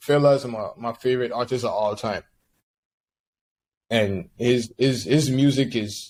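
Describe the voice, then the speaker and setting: Speaking in a medium pitch with fairly even intonation, a man goes at a fairly slow pace with long, frequent pauses. The recording is very clean, with a silent background. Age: 20s. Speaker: musician. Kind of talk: interview. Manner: halting, many repeated words.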